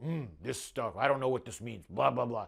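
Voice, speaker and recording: A put-on character voice does the talking. It keeps a moderate pace. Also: man, medium pitch for a man. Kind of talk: simple, grunting. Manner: dismissive.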